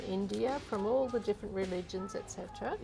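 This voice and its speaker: Soft-spoken and at a medium pitch, a woman talks at a moderate pace with ordinary pitch variation over noticeable background noise. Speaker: energy healer. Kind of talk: interview answer.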